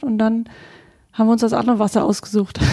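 The voice is somewhat breathy with a dark, mellow tone and fairly even intonation, heard in a dry, close sound with no echo. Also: woman. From Vorpommern, Germany (near Greifswald). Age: 30s. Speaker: podcast co-host, networker. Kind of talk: casual conversation.

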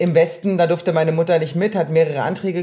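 Noticeable background noise runs beneath speech delivered fairly fast. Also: woman. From East Germany. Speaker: artist. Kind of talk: casual chat.

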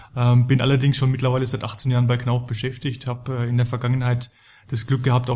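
A man's somewhat breathy voice at a medium pitch, fairly quick, in a monotone, flat intonation. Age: 30s. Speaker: building materials company employee. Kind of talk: corporate podcast interview.

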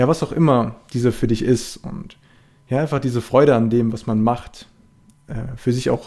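A man with a dark, mellow tone and fairly even intonation. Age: 20s. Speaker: sports science student and podcast host. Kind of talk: solo podcast intro monologue. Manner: hesitant, many fillers.

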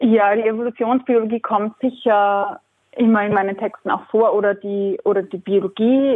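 With an Austrian accent, a woman talks at a moderate pace in a fairly high pitch. Her intonation stays fairly even. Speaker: writer. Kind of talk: interview. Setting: phone call.

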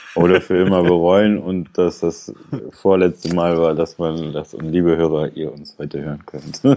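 At a moderate pace, a man with a very deep, low pitch and a dark, mellow tone talks with fairly even intonation. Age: 20s. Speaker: podcast co-host, former social worker. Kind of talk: casual chat.

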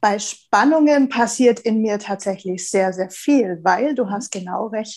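A woman's fairly high voice at a fairly slow pace. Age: 30s. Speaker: business and transformation coach. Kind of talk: casual interview. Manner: animated.

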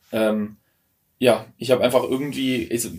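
A man at medium pitch and a moderate pace. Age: 20s. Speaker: former coaching client. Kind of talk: casual chat. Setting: in a tiny house.

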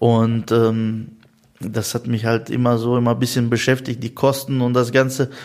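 A man speaks in a flat monotone. His pace is moderate. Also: medium pitch for a man. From Russia, Russian-German family, moved to Germany at 12. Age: 30s. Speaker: tradesman and business owner. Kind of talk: interview. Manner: many hesitations and fillers.

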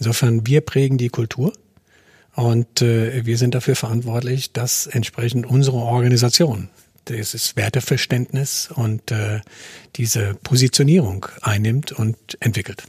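A somewhat breathy man at medium pitch, fairly slow and fairly even in intonation, in a dry, close sound with no echo. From francophone Africa. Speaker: company CEO. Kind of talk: interview. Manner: hesitant, many filler sounds.

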